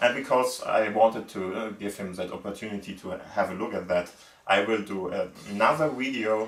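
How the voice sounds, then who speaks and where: A man with a non-native accent speaks at a fairly low pitch and a moderate pace. His pitch varies in an ordinary way, and there is noticeable background noise. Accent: non-native English speaker. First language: German. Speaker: gaming YouTuber. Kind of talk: casual video intro and tutorial. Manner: halting, many fillers.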